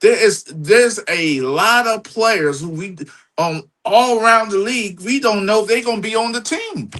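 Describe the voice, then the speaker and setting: At a moderate pace, a man talks with lively intonation in a high, bright, sharp voice. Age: 60s. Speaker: sports podcast host. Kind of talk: casual chat.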